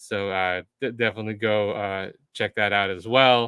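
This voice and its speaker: A man with an American accent, fairly low in pitch, his intonation monotone and flat. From United States. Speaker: livestream host for a developer community. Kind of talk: live stream wrap-up and announcements. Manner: casual with many filler words.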